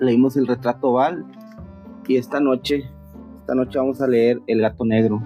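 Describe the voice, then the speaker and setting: Against background music, a man at medium pitch talks at a moderate pace with very even loudness, fairly even intonation and long, frequent pauses. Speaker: streamer reading horror stories. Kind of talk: casual talk to live audience.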